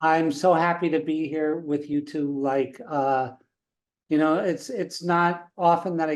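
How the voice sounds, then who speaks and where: A man talks at a fairly slow pace with a fairly high pitch and ordinary pitch variation. It is an ordinary speaking voice. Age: 60s. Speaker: founder of an ayahuasca retreat center. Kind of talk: podcast interview.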